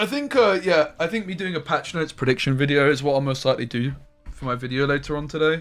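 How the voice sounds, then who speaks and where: A man with a southern English accent and a fairly high pitch, talking very fast over music in the background. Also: ordinary pitch variation. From southern England. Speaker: game streamer. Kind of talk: live gameplay stream chat. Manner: casual, chatty.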